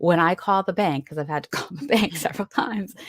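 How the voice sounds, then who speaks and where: A woman's normal speaking voice at a medium pitch with ordinary pitch variation, a fairly quick pace, and a dry, close sound with no echo. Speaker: Reiki master teacher and intuitive medium. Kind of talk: casual conversation.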